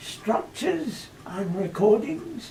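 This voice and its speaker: A man's high voice at a very slow pace, with very wide pitch swings and noticeable background noise. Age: 80s+. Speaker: corrosion engineer. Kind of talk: reading prepared statement.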